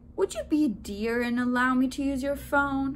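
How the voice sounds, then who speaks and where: A woman's put-on character voice, high-pitched, at a moderate pace over clear background noise. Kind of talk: sweet, courteous. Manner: extra polite, sweet.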